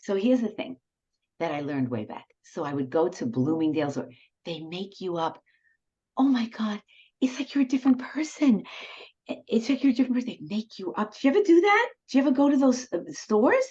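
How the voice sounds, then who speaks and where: A woman with a New York accent, fairly quick pace, very wide pitch swings, long and frequent pauses, a dark, mellow tone and vocal fry. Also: fairly high pitch for a woman. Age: 70s. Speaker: retired professor and cabaret singer. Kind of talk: casual interview chat. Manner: animated.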